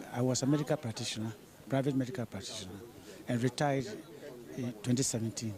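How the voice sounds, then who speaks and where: A man talks at a very fast pace but leaves long, frequent pauses. His pitch is medium, with ordinary variation. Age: 80s+. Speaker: retired doctor, protesting pensioner. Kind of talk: vox pop interview. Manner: halting, repetitive.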